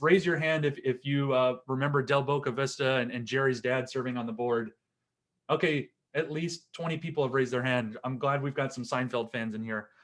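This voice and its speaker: A man with a Wisconsin accent talks at a fairly quick pace in a fairly high pitch, his intonation fairly even, on a very clean recording with a silent background. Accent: Wisconsin accent, still audible. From Wisconsin, US Upper Midwest. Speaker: attorney. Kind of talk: seminar lecture. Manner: conversational, with fillers.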